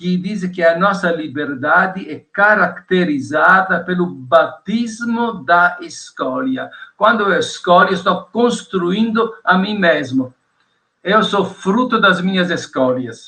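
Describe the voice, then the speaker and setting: Very slowly, a man speaks in a high voice with ordinary pitch variation. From Italy. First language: Italian (speaking Portuguese). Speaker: theology professor. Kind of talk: interview.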